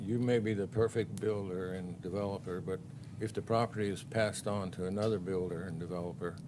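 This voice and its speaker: A man mumbling in a fairly low voice. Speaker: planning commission member. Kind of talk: public meeting discussion.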